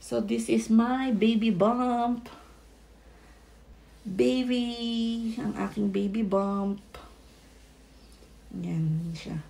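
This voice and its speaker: A fairly high-pitched woman's voice, very slow, broken by long, frequent pauses, with ordinary pitch variation. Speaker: vlogger. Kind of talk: casual vlog talk.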